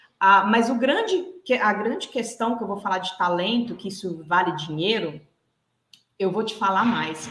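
In a normal speaking voice, a woman talks at a fairly slow pace, her pitch medium and her intonation lively. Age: 30s. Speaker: executive and behavioral coach. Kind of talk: interview.

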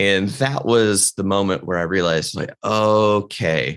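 A man's plain, everyday voice, fairly low in pitch, at a fairly slow pace with ordinary pitch variation over a quiet background. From US South, North Carolina mountains. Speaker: mentalist and business consultant. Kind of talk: casual interview.

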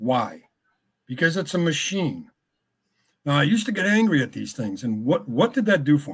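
In a very clean recording with a silent background, a man with an American accent speaks at a moderate pace and fairly high pitch, his voice making very wide pitch swings. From Connecticut. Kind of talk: casual interview.

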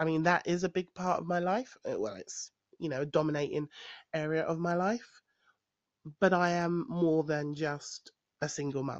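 A woman with a London accent speaks at a moderate pace and a fairly low pitch, with ordinary pitch variation and long, frequent pauses, in a dry, close sound with no echo against a quiet background. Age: 40s. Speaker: podcaster. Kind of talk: personal monologue. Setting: home recording. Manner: hesitant, many fillers.

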